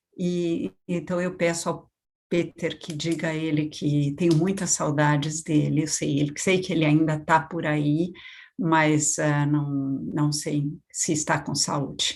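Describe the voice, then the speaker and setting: A woman with a French accent speaks at a very slow pace in a very deep, low pitch. Her intonation is monotone and flat, on a very clean recording with a silent background. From Brazil, São Paulo. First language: French (speaking Portuguese). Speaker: education policy expert. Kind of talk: lecture.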